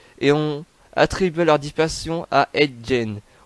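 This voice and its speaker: A man with fairly high pitch speaks with fairly even intonation in a dry, close sound with no echo. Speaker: YouTuber narrating true crime. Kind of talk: reading aloud. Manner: halting, stumbles over words.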